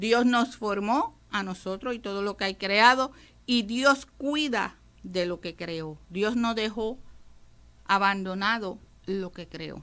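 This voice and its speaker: A woman speaks at a very slow pace with a bright, sharp tone. Her pitch is medium, with ordinary pitch variation. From Puerto Rico. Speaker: radio preacher. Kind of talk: radio sermon.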